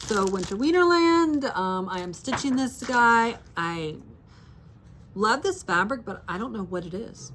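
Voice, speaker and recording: A woman talks with lively intonation, and audible room echo surrounds her voice. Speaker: needlework shop owner and video host. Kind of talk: casual show-and-tell chat. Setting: shop with a small in-person audience.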